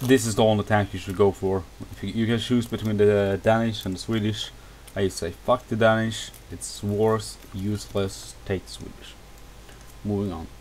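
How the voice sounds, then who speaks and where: A man's flat, monotone delivery at a moderate pace, with noticeable background noise. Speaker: video game reviewer. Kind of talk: gameplay tutorial. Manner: casual, halting.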